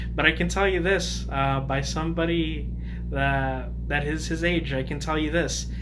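Monotone, flat delivery from a man with a very deep, low pitch, moderate pace and noticeable background noise. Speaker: YouTuber giving opinion. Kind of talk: casual monologue commentary. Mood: calm, opinionated. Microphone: phone near.

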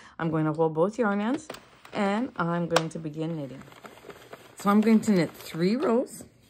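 With noticeable background noise behind her, a woman talks at a moderate pace, her pitch swinging very widely. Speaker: knitting tutorial host. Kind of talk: tutorial. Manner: filler-heavy, casual.

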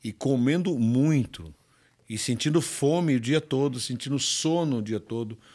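Against a quiet background, a man talks at a fairly slow pace in a dark, mellow tone with ordinary pitch variation. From Brazil. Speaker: bodybuilding champion; podcast guest. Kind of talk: casual interview. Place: studio. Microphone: studio mic.

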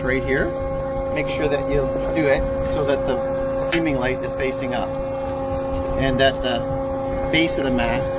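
Loud background noise surrounds the voice. A man speaks with long, frequent pauses. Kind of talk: practical instruction to a boat owner. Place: waterside.

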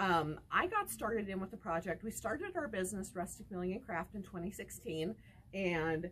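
At a moderate pace, a woman talks in a medium pitch.

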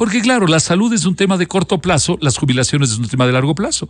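A man's voice with vocal fry and very wide pitch swings, a fairly quick pace, and a dry, echo-free sound over a quiet background. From Ecuador. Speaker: economist; guest. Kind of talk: interview. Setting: studio. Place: studio. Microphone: studio mic.

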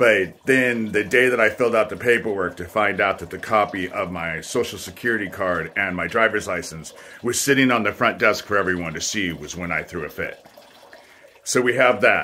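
Over light background noise, a man talks at a moderate pace in a fairly low pitch. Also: ordinary pitch variation. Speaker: vlogger telling personal grievances. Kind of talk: casual vlog monologue. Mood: aggrieved, accusatory. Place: home room. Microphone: phone near.

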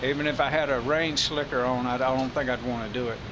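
The voice shows ordinary pitch variation, with noticeable background noise. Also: man. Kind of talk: casual vlog chat. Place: street. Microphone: phone near.

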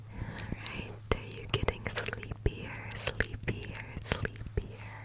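Soft-spoken and whispering, a woman speaks at a very slow pace. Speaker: ASMR creator. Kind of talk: soft ASMR whisper roleplay. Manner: soft close-mic ASMR whisper. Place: home room. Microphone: studio mic.

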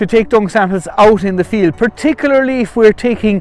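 Faint music plays behind a man's voice. He talks at a fairly quick pace, and the sound is dry with no echo. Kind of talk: tutorial. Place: farm machine.

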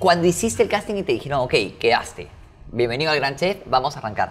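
Music plays in the background as a man with a fairly high pitch talks at a fairly quick pace with lively intonation. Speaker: podcast host. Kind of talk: casual interview chat.

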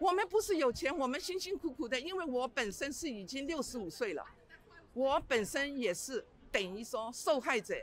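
Pitched high and swinging very widely, a woman's voice moves at a moderate pace, the sound dry with no echo and light background noise. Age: 60s. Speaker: retired small landlord. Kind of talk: street interview. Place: street. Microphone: handheld.

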